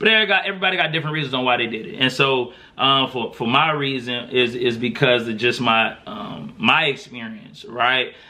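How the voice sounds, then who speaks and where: A man's normal speaking voice, medium in pitch, with lively intonation, a fairly quick pace and hardly any pauses. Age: 30s. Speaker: podcast host. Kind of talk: casual chat. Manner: conversational, with many fillers.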